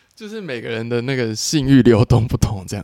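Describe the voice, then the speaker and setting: Talking fairly quickly, a man has a dark, mellow tone. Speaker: adult film actor. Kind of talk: casual interview chat.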